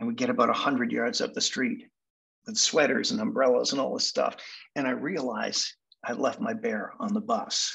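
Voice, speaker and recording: A man with a Canadian accent, bright and sharp in tone, at a moderate pace with very wide pitch swings against a quiet background. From Manchester, England, then Canada; England. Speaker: hypnotherapy speaker; speaker. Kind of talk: storytelling presentation. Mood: reflective, nostalgic childhood story. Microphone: video call.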